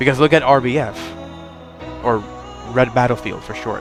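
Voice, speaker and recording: There is music in the background. At a moderate pace, a man talks with ordinary pitch variation at a medium pitch. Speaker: gaming video creator. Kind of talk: casual commentary talk.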